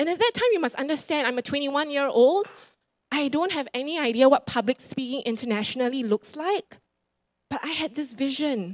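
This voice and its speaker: Speaking with a Singaporean accent against a quiet background, a woman uses a high pitch, lively intonation and an animated tone at a moderate pace. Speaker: preacher. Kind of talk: sermon. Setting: church. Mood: encouraging, earnest. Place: church. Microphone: handheld.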